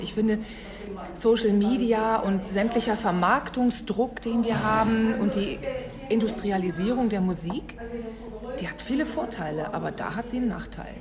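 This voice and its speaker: A woman's fairly high voice at a moderate pace with ordinary pitch variation, with audible room echo and music in the background. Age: 50s. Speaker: podcast host. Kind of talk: interview. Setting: café.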